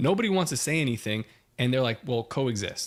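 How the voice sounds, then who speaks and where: A man's animated, very fast speech with lively intonation, on a very clean recording with a silent background. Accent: strong New York. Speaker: podcast co-host. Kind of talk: casual chat.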